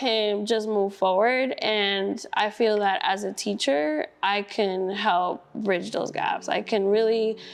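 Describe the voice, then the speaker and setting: Very slow delivery from a woman, her pitch fairly high. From Brooklyn, New York. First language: Spanish. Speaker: school district staff, student teacher. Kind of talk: interview.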